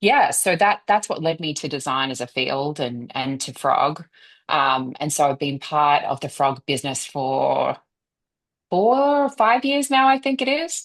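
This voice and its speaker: A woman with an Australian accent at a fairly slow pace, against a quiet background. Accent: Australian, noticeable. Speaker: design consultancy executive. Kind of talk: interview. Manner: many fillers and hesitations.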